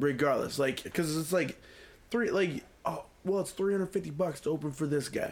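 A man with an American accent speaks at a fairly quick pace in an ordinary speaking voice, his fairly high pitch showing ordinary pitch variation and his loudness very even. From US Midwest, Quad Cities. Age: 30s. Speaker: singer. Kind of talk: casual chat.

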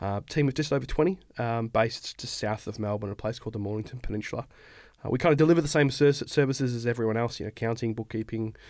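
Speaking very fast, a man with an Australian accent has a medium pitch and ordinary pitch variation. The recording is very clean, with a silent background. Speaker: accounting firm founder. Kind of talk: casual podcast interview. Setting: studio.

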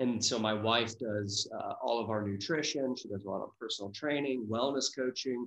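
This man has a plain, everyday voice with an American accent, speaking at a medium pitch and a moderate pace. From US Midwest, Dayton, Ohio. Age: 30s. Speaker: wellness business owner. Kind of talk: interview.

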